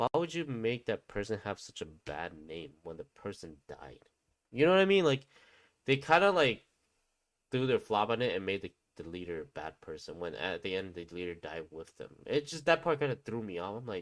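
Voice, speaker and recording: This man speaks with a non-native accent at a moderate pace, his medium pitch making very wide swings and his loudness rising and falling a great deal. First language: not English. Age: 30s. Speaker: gaming streamer. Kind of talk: casual live stream chat. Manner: casual, hesitant with fillers.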